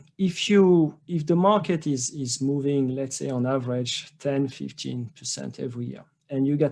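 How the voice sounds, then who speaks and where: A man is speaking. He has a French accent. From France. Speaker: trading educator. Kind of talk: webinar presentation. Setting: online webinar. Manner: halting with many fillers and repetitions.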